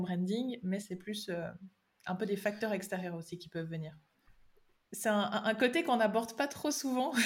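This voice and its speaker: A somewhat breathy woman at a moderate pace. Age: 20s. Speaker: digital strategy consultant. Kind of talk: podcast interview.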